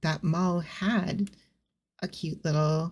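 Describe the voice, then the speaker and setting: A woman speaks in a dark, mellow tone, somewhat breathy. Her pitch is fairly low, with ordinary variation. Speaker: VTuber / ASMR streamer. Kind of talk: ASMR soft-spoken chatting. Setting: home recording with amateur equipment. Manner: soft-spoken, slow, relaxing.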